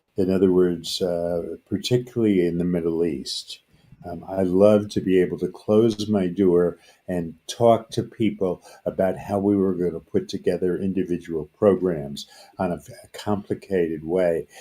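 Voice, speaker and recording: The voice has a dark, mellow tone, moving at a moderate pace with fairly even intonation. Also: man, very deep, low pitch for a man. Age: 80s+. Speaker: peacebuilding organization founder. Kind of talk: interview. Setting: podcast.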